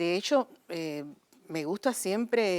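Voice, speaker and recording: A woman's fairly low voice with ordinary pitch variation, on a very clean recording with a silent background. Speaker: actress. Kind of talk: interview. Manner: halting.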